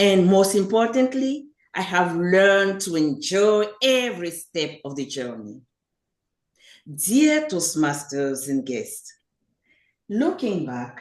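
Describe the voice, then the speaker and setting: A woman speaks at medium pitch with a French accent, her pitch swinging very widely. Her pace is very slow, with long, frequent pauses. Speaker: public speaking club member. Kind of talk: prepared speech.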